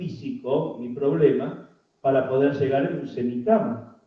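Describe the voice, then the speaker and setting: A man speaks fairly slowly with lively intonation. Room echo is audible. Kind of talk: public talk.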